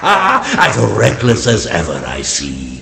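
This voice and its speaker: In a put-on character voice, a man speaks with a very deep, low pitch at a fairly slow pace. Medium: video game. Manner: slow, dignified, sage-like.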